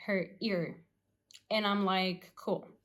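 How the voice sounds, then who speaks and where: Talking at a very slow pace, a woman uses a medium-pitched voice with a non-native accent. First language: not English. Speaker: former tattoo artist, vlogger. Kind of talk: casual storytelling vlog. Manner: halting, lots of fillers.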